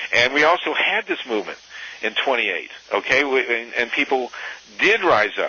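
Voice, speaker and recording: Noticeable background noise runs under a man speaking with an American accent and ordinary pitch variation. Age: 60s. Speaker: activist and author. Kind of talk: interview. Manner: halting, many fillers and restarts.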